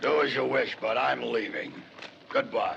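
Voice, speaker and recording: Over clear background noise, a man puts on a raspy character voice at a moderate pace. His tone is amused. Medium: short film. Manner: sly, amused, chuckling.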